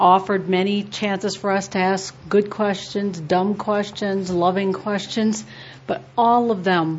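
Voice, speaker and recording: A woman talks at a fairly slow pace in a plain, everyday voice of medium pitch. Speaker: workshop organizer or teacher.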